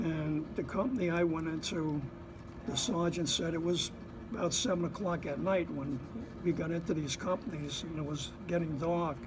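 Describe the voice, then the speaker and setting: A man with a New Jersey accent, high pitch, ordinary pitch variation and a moderate pace. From Bayonne, New Jersey. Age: 80s+. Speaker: Korean War veteran, Marine. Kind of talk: interview answer.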